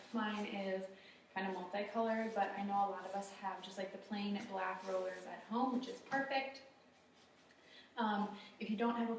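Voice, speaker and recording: A soft-spoken woman with fairly even intonation, over noticeable background noise. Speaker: fitness instructor. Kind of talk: workout class instruction. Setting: studio.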